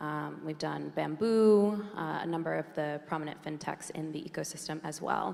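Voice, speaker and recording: The speech moves at a moderate pace with hardly any pauses, with noticeable background noise. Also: woman. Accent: strong American. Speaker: venture capital investor. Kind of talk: panel discussion.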